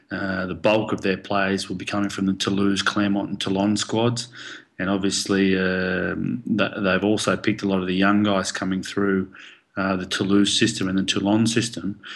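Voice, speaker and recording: With an Australian accent, a man speaks at a fairly low pitch and a moderate pace in a monotone, flat intonation. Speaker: professional rugby player. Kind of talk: casual interview.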